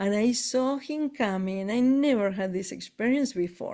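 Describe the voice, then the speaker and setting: A woman's dark, mellow tone with an Argentine accent and ordinary pitch variation. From Argentina. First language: Spanish. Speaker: spiritual tour leader. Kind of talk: casual chat. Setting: live stream.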